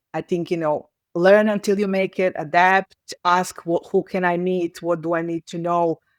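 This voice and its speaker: A woman's fairly low voice in a Serbian accent at a moderate pace, dry and close with no echo, in a very clean recording with a silent background. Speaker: communications professional. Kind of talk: interview conversation. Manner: halting, with frequent false starts.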